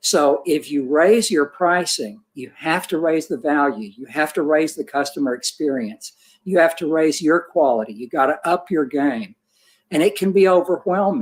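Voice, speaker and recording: A man speaks in an ordinary speaking voice at a moderate pace. His intonation is lively. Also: fairly high pitch for a man. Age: 60s. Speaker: portrait photographer. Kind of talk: panel discussion. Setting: livestream.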